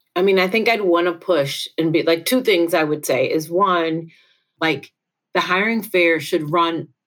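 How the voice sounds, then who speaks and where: On a very clean recording with a silent background, a woman uses an ordinary speaking voice, fairly low in pitch, with ordinary pitch variation at a moderate pace. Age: 40s. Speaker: nonprofit manager. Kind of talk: counseling session conversation.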